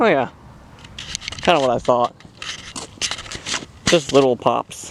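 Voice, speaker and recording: At a fairly slow pace, a man with a medium pitch and ordinary pitch variation speaks in a dry, close sound with no echo over noticeable background noise. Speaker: fireworks hobbyist vlogger. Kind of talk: casual commentary while filming. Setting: outdoors in an open area. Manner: loud.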